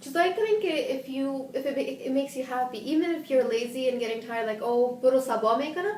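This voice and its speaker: Loud and animated in tone, a woman speaks at a high pitch with lively intonation and a fairly quick pace, amid noticeable background noise and audible room echo. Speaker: mental health educator. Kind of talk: live stream Q&A, English and Dari. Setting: live video stream. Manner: hyper, animated.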